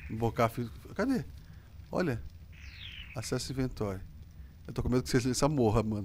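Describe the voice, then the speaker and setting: A man with vocal fry speaks at medium pitch and a fairly quick pace. His intonation is lively, broken by long, frequent pauses. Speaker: gaming youtuber. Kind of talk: gameplay commentary. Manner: animated.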